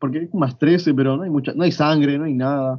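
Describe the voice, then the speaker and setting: The speaker uses fairly even intonation with a Rioplatense accent. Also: man. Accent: Argentine Rioplatense Spanish. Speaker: podcast co-host. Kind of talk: casual chat.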